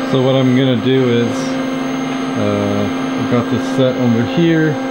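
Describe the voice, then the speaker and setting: A man speaks while loud background noise fills the recording. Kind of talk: casual vlog chat. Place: workshop. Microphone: phone near.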